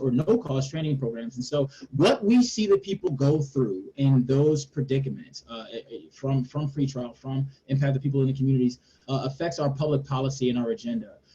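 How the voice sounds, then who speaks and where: A man's fairly high, somewhat breathy voice with a dark, mellow tone, ordinary pitch variation and a fairly quick pace. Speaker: policy advocate. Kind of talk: webinar panel discussion. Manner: fast.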